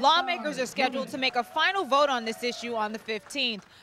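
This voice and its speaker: Noticeable background noise surrounds a woman speaking very fast in a high voice with ordinary pitch variation. Her tone is energetic and her voice raised and projected. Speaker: TV news reporter. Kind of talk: TV news report. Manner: energetic, conversational.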